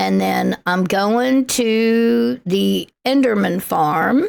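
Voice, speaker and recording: Her intonation is lively as this woman speaks at a medium pitch. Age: 70s. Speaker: gaming livestreamer. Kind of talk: casual livestream chat while gaming. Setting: livestream. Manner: chatty, thinking aloud.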